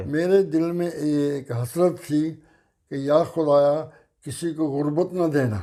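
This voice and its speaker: Fairly high in pitch, this man's voice carries a dark, mellow tone. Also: ordinary pitch variation. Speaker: retired navy veteran. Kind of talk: interview answer.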